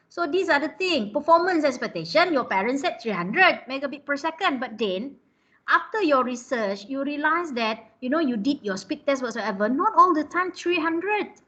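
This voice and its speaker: In a Malaysian accent, a woman speaks in a raised, projected voice at a moderate pace. Her pitch is high and swings very widely. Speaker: lecturer. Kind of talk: online class lecture. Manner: conversational, many fillers (ah, lah, huh).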